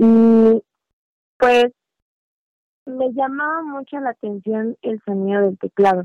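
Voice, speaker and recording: A woman's fairly high voice at a very slow pace, with long, frequent pauses, ordinary pitch variation and a dry, close sound with no echo. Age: 20s. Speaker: musician and hairstylist. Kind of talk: casual interview.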